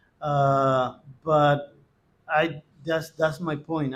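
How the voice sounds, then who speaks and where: A man is speaking. He has a Spanish accent. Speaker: Spanish teacher. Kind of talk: interview. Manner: halting, many fillers.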